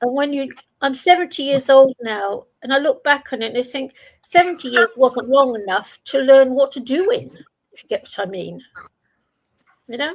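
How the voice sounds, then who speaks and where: A woman's high-pitched voice at a moderate pace, lively intonation, big swings in loudness, and long, frequent pauses. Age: 70s. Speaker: open panel participant. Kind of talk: casual chat.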